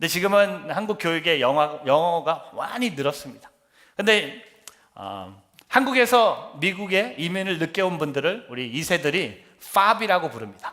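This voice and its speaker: A high-pitched male voice, bright and sharp in tone, with lively intonation at a fairly slow pace. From Korea, then US from sixth grade. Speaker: pastor. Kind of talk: sermon.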